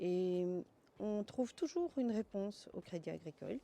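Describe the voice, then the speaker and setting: Speaking at a fairly slow pace, a woman has a dark, mellow tone and ordinary pitch variation. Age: 60s. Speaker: bank customer. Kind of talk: testimony.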